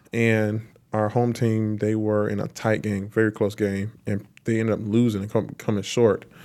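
A man with a South Carolina accent, fairly low in pitch, flat and monotone, at a moderate pace. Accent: Southern US (South Carolina). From US South, South Carolina (Lancaster). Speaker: professional football player. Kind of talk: interview. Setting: on location at a stadium venue.

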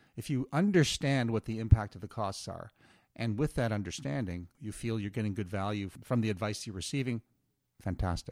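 A man with an unremarkable speaking voice, fairly low in pitch, talks at a fairly quick pace with ordinary pitch variation, captured dry and close with no echo in a very clean recording with a silent background. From Atlantic Canada (Moncton, New Brunswick). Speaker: author and investor advocate, former banker. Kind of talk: interview. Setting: studio.

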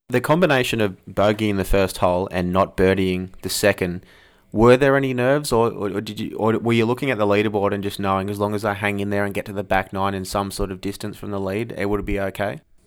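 A man with an Australian accent talks at a very fast pace with hardly any pauses. His intonation stays fairly even on a very clean recording with a silent background. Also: fairly low pitch for a man. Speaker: podcast host. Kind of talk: interview.

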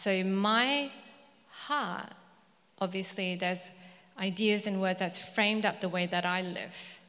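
Speaking at a fairly slow pace with long, frequent pauses, a woman with a bright, sharp tone and medium pitch uses ordinary pitch variation amid audible room echo. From Malaysia (ethnic Chinese). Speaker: preacher. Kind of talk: sermon. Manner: halting.

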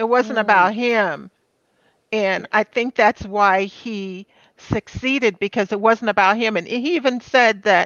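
A woman talks in a plain, everyday voice at a fairly slow pace. Her pitch is medium, with ordinary variation. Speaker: podcast co-host, former athletic assistant. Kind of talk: casual chat.

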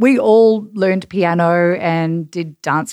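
In an Australian accent, a woman speaks at a fairly low pitch with ordinary pitch variation on a very clean recording with a silent background. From Perth, Western Australia. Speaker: marketing executive and podcast producer. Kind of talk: casual chat.

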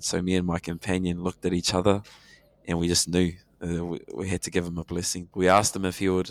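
A man with a New Zealand accent talks fairly quickly in a very deep, low voice, recorded very cleanly with a silent background and a dry, close sound with no echo. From New Zealand, Hamilton. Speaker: returned missionary and language teacher. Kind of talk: casual chat.

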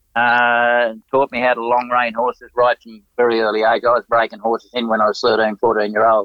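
At a fairly quick pace with hardly any pauses, a man speaks in a medium pitch with a monotone, flat intonation and big swings in loudness. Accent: Australian. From Australia. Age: 80s+. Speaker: retired Olympic show jumper. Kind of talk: interview.

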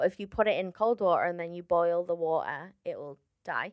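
In a Liverpool accent, a woman speaks at a moderate pace with fairly even intonation. Her pitch is fairly low, and the background is quiet. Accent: Liverpool (Scouse), noticeable to audiences. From Liverpool, England. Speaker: stand-up comedian. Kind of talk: casual chat.

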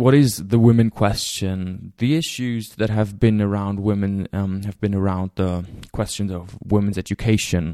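Recorded very cleanly against a silent background, a man with a German accent speaks at a fairly slow pace and fairly low pitch, his tone dark and mellow and his intonation fairly even. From Germany. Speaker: podcast host. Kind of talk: lecture-style introduction.

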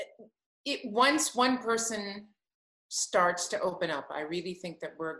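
Bright and sharp in tone, the speaker talks at a fairly slow pace with lively intonation and long, frequent pauses. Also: woman, medium pitch for a woman. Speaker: podcast host and singer. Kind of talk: casual chat.

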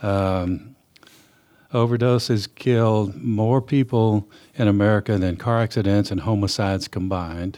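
A man speaks at a fairly slow pace with a West Texas accent, his pitch fairly low. His tone is dark and mellow, with ordinary pitch variation. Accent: West Texas (Southern US). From West Texas, Permian Basin. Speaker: pastor and addiction counselor. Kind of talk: interview.

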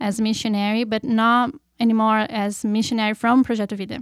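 A woman speaks with a Portuguese accent. The sound is dry and close, with no echo. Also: very clean recording, silent background. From Brazil, Curitiba. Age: 30s. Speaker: missionary. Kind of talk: testimony.

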